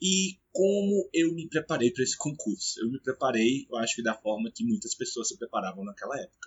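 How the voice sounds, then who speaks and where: Somewhat breathy, a man speaks at a moderate pace with very wide pitch swings. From Brazil, Brasília. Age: 30s. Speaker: police officer and study-tips YouTuber. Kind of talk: casual personal story to camera. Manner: hesitant, many fillers.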